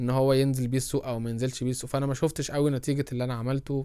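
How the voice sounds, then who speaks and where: Speaking very fast, a man with a fairly high pitch has a dark, mellow tone. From Egypt. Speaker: product strategy and design podcaster. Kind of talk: casual solo talk. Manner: halting, many fillers.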